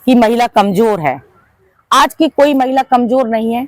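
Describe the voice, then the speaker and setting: Heard in a dry, close sound with no echo, a woman speaks at a fairly high pitch. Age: 60s. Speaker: community organization leader. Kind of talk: interview.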